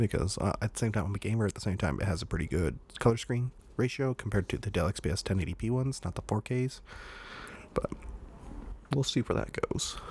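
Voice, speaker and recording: The speaker has vocal fry and lively intonation, talking at a very fast pace but with long, frequent pauses. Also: man, fairly low pitch for a man. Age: 20s. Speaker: podcast host. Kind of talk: casual monologue. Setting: home recording with condenser mic. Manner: hesitant with many fillers.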